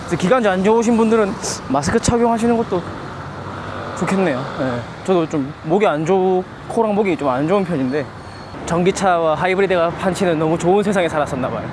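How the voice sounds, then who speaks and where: Over noticeable background noise, the speaker talks at a very fast pace broken by long, frequent pauses. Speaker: travel vlogger. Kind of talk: travel vlog narration. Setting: outdoors on busy streets. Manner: casual, chatty.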